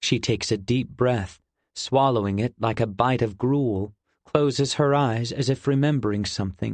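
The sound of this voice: Quiet surroundings behind an unforced reading voice, its pitch rising and falling in an ordinary way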